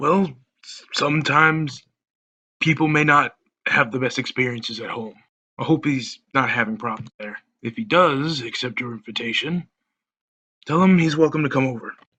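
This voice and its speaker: Using a put-on character voice, a man speaks at a moderate pace with long, frequent pauses, his warm, raspy tone pitched fairly high. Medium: audio drama. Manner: warm, fatherly.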